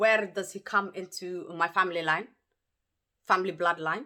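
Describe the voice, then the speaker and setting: At a moderate pace, the voice carries a bright, sharp tone with ordinary pitch variation. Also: woman. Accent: Somali. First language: Somali. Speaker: YouTuber. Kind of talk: personal story-time monologue. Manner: animated, emphatic.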